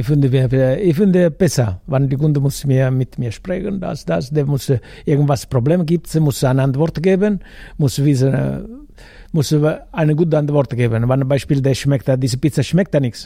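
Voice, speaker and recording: A man's fairly high, somewhat breathy voice with a dark, mellow tone, ordinary pitch variation and a moderate pace. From Italy. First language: Italian (speaking German). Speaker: food vendor. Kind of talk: casual interview. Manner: halting.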